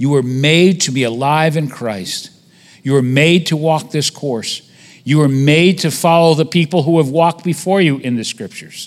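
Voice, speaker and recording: At a moderate pace, a man with a normal speaking voice talks at fairly high pitch with ordinary pitch variation. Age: 50s. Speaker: visiting preacher. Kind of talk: sermon.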